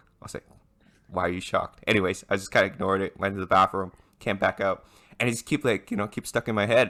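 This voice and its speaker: On a very clean recording with a silent background, a man talks at a very fast pace in a bright, sharp, animated tone. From Hong Kong and Canada. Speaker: podcast co-host. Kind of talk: casual chat. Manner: animated storytelling.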